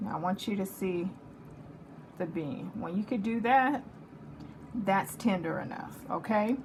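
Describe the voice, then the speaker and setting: A woman in a Texas accent, animated and at a medium pitch, with a fairly slow pace, long, frequent pauses and ordinary pitch variation. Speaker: home cooking channel host. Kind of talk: cooking tutorial.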